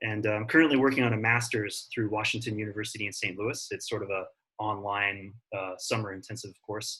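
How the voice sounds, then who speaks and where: Fairly quick and fairly low-pitched, a man speaks in an American accent. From international upbringing (Kenya, Zambia, Zimbabwe, Rome; American school). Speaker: high school science teacher. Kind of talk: online class introduction. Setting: video call class. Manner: casual with filler words.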